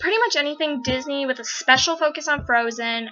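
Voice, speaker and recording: A woman with an American accent speaks at a high pitch with ordinary pitch variation. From United States. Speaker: fan vlogger. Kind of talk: casual Q&A vlog. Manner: fast; rambling.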